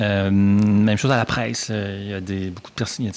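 A man's fairly low voice with fairly even intonation, over noticeable background noise. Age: 50s. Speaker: journalism professor. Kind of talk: interview. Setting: studio.

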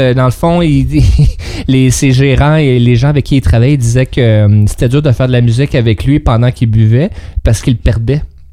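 With noticeable background noise behind him, a man talks at a fairly quick pace with ordinary pitch variation and very even loudness. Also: medium pitch for a man. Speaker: radio co-host. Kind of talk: casual radio chat.

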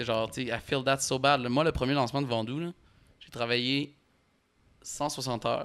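In a very clean recording with a silent background, a man of medium pitch speaks at a fairly slow pace with fairly even intonation, big swings in loudness, and long, frequent pauses. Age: 20s. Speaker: music manager. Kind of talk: casual chat.

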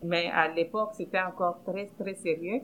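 A woman talks in a medium pitch with fairly even intonation. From Democratic Republic of the Congo. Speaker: housing cooperative director. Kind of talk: personal testimony.

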